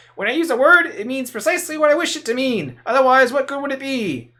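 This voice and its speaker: A put-on character voice, raised and projected, speaks at a very fast pace with a high pitch. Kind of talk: stuck-up, haughty.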